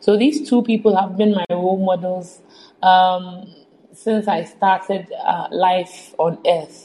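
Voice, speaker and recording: A woman speaks at a very slow pace in a somewhat breathy voice. Her medium pitch shows ordinary variation. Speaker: finance entrepreneur. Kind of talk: casual interview.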